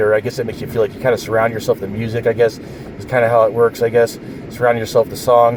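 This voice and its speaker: A man at a very fast pace against noticeable background noise. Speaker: vlogger. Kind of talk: casual vlog. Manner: halting.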